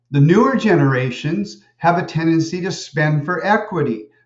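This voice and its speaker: This man has a fairly high pitch and speaks at a fairly slow pace. He has an ordinary speaking voice. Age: 60s. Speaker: college lecturer. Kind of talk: lecture.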